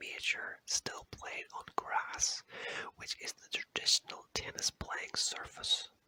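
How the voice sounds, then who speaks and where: Someone whispers in a soothing tone at a very slow pace. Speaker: ASMR creator. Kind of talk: whispered ASMR fact reading. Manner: whispering; slow, soothing.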